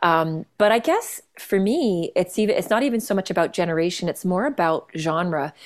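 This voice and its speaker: A woman with a Canadian accent speaks in a normal speaking voice at medium pitch, with lively intonation. Her loudness stays very even, and she hardly pauses at all. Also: moderate pace. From Canada. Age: 40s. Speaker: jazz singer-songwriter and pianist. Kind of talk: casual interview chat.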